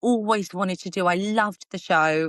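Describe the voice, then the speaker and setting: In a dry, close recording with no echo and a quiet background, a woman with an Essex accent speaks with lively intonation. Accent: Essex accent, people comment on it. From Essex, England. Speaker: TV reporter and presenter. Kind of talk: interview. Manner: fast.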